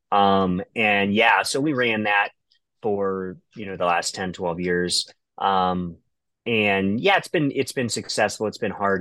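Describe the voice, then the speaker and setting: A man with an American accent speaks very slowly in a fairly low, bright, sharp voice with ordinary pitch variation, on a very clean recording with a silent background. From Ohio, US Midwest. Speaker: ultramarathon runner. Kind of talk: casual interview chat.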